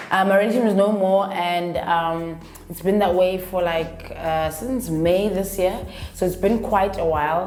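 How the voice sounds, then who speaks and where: In a room with audible echo and noticeable background noise, a woman speaks in an animated tone at medium pitch. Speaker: YouTuber. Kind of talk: casual vlog.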